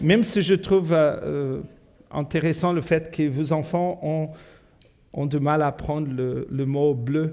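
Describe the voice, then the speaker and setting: A man with a Portuguese accent speaks at a very slow pace in a fairly high pitch, his dark, mellow tone held at a fairly even intonation and broken by long, frequent pauses. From South Africa. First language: Portuguese (speaking French). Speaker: pastor. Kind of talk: sermon. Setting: church. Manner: halting, many fillers.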